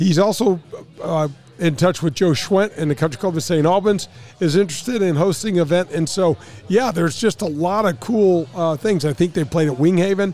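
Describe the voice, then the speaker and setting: With music in the background, a man speaks at a moderate pace in a high pitch, with ordinary pitch variation and very even loudness. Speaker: radio host and former pro golfer. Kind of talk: casual chat. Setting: remote broadcast at a sports bar.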